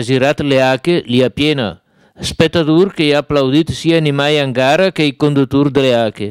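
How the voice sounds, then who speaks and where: At a fairly quick pace, a man with a Lombard accent talks at a fairly high pitch with ordinary pitch variation. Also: dry, close sound with no echo. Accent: Brescian dialect. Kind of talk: TV news report.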